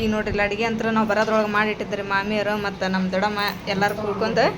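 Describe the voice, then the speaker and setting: Noticeable background noise and audible room echo around a female voice. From northern Karnataka, Hadagali area. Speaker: vlogger. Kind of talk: vlog narration. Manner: animated.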